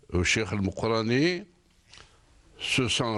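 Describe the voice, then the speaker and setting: A man's medium-pitched voice with lively intonation at a very slow pace against a quiet background. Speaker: independence war veteran, author. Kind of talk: interview.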